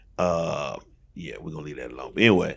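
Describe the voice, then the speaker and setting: Here is a man with a very deep, low pitch and vocal fry. His pitch variation is ordinary. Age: 60s. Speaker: pastor. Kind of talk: casual chat. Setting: studio.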